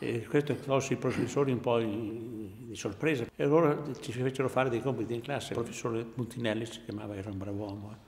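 At a very fast pace, a man speaks in a somewhat breathy voice with fairly even intonation. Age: 80s+. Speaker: war veteran, former student. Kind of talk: interview testimony. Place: home room.

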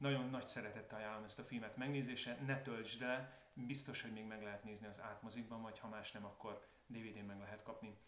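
A man with a medium pitch talks very fast in a monotone, flat intonation with hardly any pauses, with the room echo audible. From Hungary. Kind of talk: casual video talk to viewers. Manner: calmer, more reflective tone. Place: home room.

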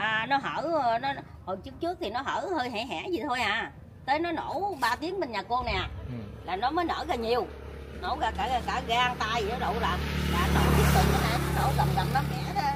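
A woman's high voice swings very widely in pitch against noticeable background noise. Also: moderate pace. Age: 50s. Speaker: local resident affected by subsidence. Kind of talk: casual interview. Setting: outdoors on location. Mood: worried, recounting frightening event. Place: street. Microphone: phone near.

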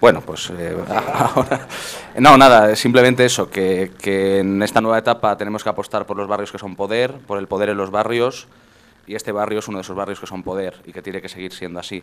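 A man with a plain, everyday voice talks at a fairly quick pace, his pitch fairly low and his intonation fairly even. His loudness swings widely. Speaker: political party official. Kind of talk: speech introducing the guest. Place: hall. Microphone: handheld.

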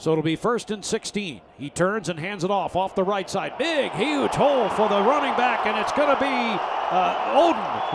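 A man talks with lively intonation. Noticeable background noise sits behind his voice. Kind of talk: live play-by-play football commentary over game highlights. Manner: even, steady and matter-of-fact, rising briefly at touchdowns.

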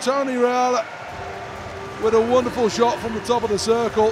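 Over noticeable background noise, a man with an extremely high pitch talks at a fairly quick pace in an animated tone. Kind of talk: live commentary. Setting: radio broadcast. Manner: rapid-fire, animated play-by-play delivery.

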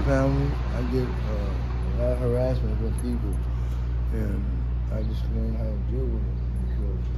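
Over loud background noise, a man talks at a fairly slow pace with long, frequent pauses. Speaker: homeless man. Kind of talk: interview answer. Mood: weary, emotional, earnest. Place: street. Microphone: phone near.

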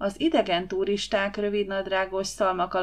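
What you hear is plain reading aloud.

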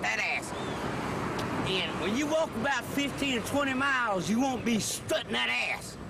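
A man at a fairly slow pace with ordinary pitch variation, dry sound with no echo, and loud background noise. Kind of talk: animated rant to camera. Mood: mocking, indignant. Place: street. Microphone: camera far.

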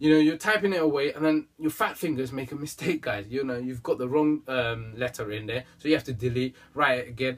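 A man speaks at a fairly quick pace. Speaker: fitness vlogger. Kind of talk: casual vlog advice. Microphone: camera far.

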